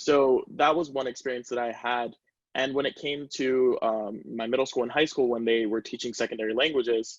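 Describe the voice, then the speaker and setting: A man with a Spanish accent at a medium pitch, with a moderate pace and fairly even intonation. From US, Caribbean family. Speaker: student panelist. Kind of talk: panel discussion.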